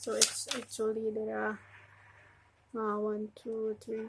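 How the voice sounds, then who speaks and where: A woman talks very slowly as noticeable background noise continues around her. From Indonesia. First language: Indonesian. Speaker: religious educator. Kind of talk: casual tutorial. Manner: halting.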